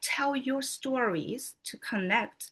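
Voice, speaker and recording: In a non-native accent, the speaker uses a bright, sharp tone with very wide pitch swings at a very slow pace over a quiet background. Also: woman. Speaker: motivational speaker, regional advisor. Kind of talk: motivational speech.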